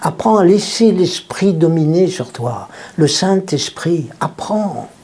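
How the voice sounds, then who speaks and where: A man speaks very slowly in a high voice. There is noticeable background noise. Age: 70s. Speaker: pastor. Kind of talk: sermon. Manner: animated.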